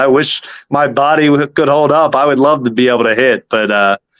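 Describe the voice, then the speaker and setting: In a dry, close sound with no echo, a man with an ordinary speaking voice and an American accent talks at a fairly quick pace with fairly even intonation. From Philadelphia. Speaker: baseball team manager. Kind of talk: radio interview.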